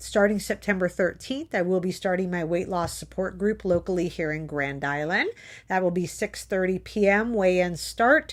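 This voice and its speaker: In a put-on character voice, a woman with a raspy, medium-pitched tone talks at a moderate pace on a very clean recording with a silent background. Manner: talking very fast.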